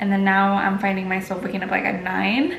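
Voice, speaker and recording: A woman talks at a medium pitch. Audible room echo and noticeable background noise surround her voice. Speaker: lifestyle vlogger. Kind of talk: casual chat. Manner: halting, filler-heavy.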